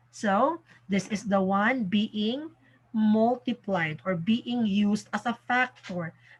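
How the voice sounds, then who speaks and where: A somewhat breathy woman's voice at a fairly high pitch and a very slow pace. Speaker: math teacher. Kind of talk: tutorial. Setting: home recording in the evening. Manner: soft-spoken.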